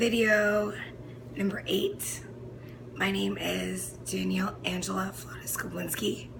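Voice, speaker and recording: A woman speaking at a very slow pace, with noticeable background noise and audible room echo. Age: 20s. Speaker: fitness instructor and video diarist. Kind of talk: personal video diary monologue. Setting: home recording, no background music. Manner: stream of consciousness, filler-heavy.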